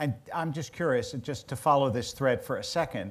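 Pitch rises and falls in an ordinary way. The speaker goes at a moderate pace. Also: man. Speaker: rabbi. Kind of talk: onstage interview. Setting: stage with audience. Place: stage.

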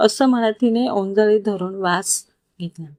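A natural reading voice against a quiet background.

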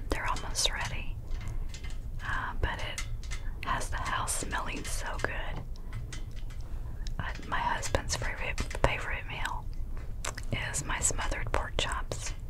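Loud background noise surrounds a woman speaking at a fairly slow pace. She leaves long, frequent pauses. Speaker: ASMR creator. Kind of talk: whispered ASMR talk.

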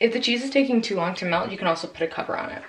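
A high-pitched woman's voice amid noticeable background noise. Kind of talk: tutorial. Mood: relaxed, cheerful. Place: kitchen.

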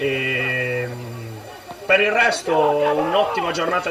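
Noticeable background noise can be heard while a man is speaking. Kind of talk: interview answer. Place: stadium.

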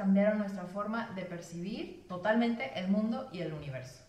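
With a slight Mexican accent, a woman speaks at a moderate pace and a medium pitch. Her intonation is lively, and room echo is audible. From Mexico. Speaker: actress and TV presenter; actress, TV presenter. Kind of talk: science explainer. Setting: in front of a camera. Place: home room.

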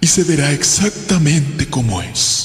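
A man's put-on character voice at a fairly high pitch, with a slight echo. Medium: audio drama. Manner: calm, warm, measured.

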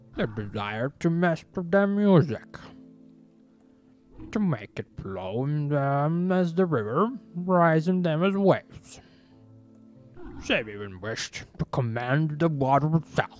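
Someone uses a put-on character voice at a middle pitch, speaking at a fairly slow pace with long, frequent pauses. Faint music plays in the background. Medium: solo performance. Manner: seductive, ominous, slow.

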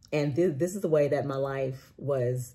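A dark, mellow, somewhat breathy voice with ordinary pitch variation. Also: woman. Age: 40s. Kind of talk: personal testimony monologue. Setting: recorded after a walk, solo video. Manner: casual, with frequent fillers and restarts. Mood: earnest, animated. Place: home room. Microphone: phone near.

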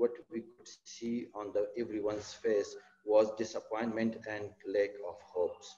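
A man with an Afghan accent speaks in a dark, mellow tone at a medium pitch. His pace is fairly slow, with ordinary pitch variation. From Afghanistan. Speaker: pediatric surgeon. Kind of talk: webinar presentation. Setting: video call. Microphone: video call.

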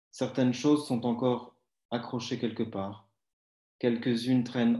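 Dark, mellow tone from a man, with audible room echo and a quiet background. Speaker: writer; poetry reader. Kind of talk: reading aloud. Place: home room. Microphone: too quiet; video call.

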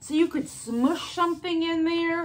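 A raised, projected female voice, bright and sharp in tone, at a fairly slow pace. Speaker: haul vlogger. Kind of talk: casual vlog chat. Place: home room. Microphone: phone near.

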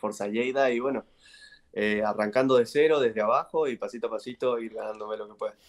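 The man in this clip talks at a moderate pace. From Argentina. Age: 20s. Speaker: basketball player; guest. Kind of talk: interview. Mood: relaxed, content. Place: home room. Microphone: video call.

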